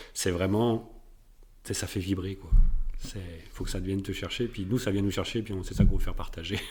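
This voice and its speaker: Fairly low in pitch and somewhat breathy, a man speaks at a fairly quick pace with fairly even intonation. He takes long, frequent pauses. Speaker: podcast co-host, soccer coach. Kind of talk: casual chat. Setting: studio with mic and camera.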